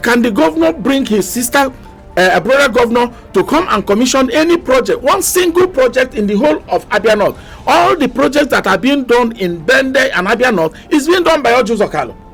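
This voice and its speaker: A fairly quick voice with very wide pitch swings and very even loudness, over noticeable background noise. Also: man, extremely high pitch for a man. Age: 60s. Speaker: politician. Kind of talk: radio interview.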